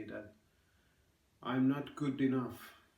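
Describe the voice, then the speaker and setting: A man speaks with audible room echo around him. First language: Finnish. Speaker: vlogger. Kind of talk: personal vlog monologue. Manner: halting, with fillers.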